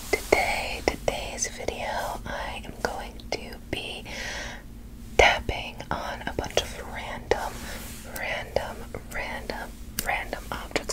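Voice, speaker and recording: A woman is whispering. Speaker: ASMR creator. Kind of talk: ASMR tapping video, gentle whispered talk to camera. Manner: soft, whispered, repetitive trigger words. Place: home room. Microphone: phone near.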